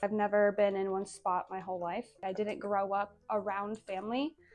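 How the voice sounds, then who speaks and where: Music plays in the background as a woman speaks with a Northern US accent. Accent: American, northern US. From Azores, Portugal, then US (Massachusetts, North Dakota). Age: 20s. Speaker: social media creator. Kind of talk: personal vlog monologue.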